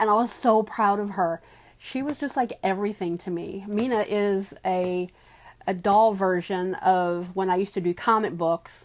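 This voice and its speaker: An ordinary speaking voice from a woman, medium in pitch, fairly even in intonation and moderate in pace, in a very clean recording with a silent background. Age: 50s. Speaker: small business owner and doll artist. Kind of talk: casual vlog talk to camera.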